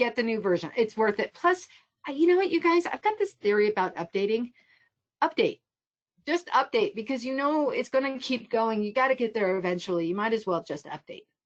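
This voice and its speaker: Animated in tone, a woman speaks at a fairly quick pace and fairly high pitch, with very wide pitch swings. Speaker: photography instructor. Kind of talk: online tutorial presentation. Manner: fast.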